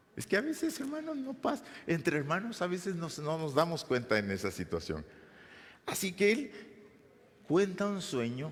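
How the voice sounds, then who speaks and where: A man at a fairly slow pace with long, frequent pauses, amid audible room echo. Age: 60s. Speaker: pastor. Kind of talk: sermon. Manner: halting.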